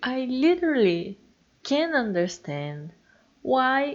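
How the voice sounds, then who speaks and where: With a strong Brazilian accent, a woman speaks at a very slow pace. The background is quiet. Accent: heavy Brazilian Portuguese. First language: Portuguese. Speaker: YouTuber and comic artist. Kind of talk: casual voiceover monologue. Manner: animated, stammering when excited.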